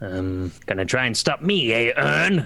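Putting on a character voice, a man speaks at a fairly slow pace and medium pitch with very wide pitch swings over light background noise. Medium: actual play. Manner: theatrical.

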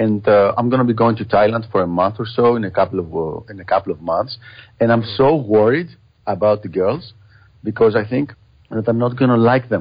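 A man with a Greek accent, medium pitch, somewhat breathy, at a fairly quick pace. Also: ordinary pitch variation. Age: 40s. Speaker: podcast host. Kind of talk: interview.

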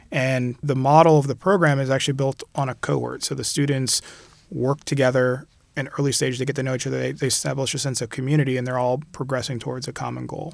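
On a very clean recording with a silent background, a man with a medium pitch speaks at a very fast pace with fairly even intonation. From Caribbean, mostly Puerto Rico. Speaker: civil engineering professor. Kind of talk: interview.

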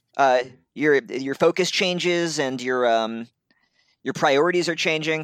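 A man talks fairly slowly at a fairly high pitch with ordinary pitch variation and long, frequent pauses. The recording is very clean, with a silent background. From US Northeast, Brooklyn and upstate New York. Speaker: comics journalist. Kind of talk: casual chat.

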